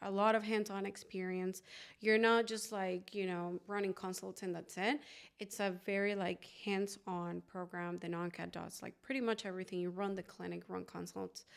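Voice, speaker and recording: On a very clean recording with a silent background, a woman with a Venezuelan accent talks at a moderate pace with ordinary pitch variation. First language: Spanish. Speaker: oral surgeon. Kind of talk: interview. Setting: podcast recording in Los Angeles. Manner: casual, many filler words.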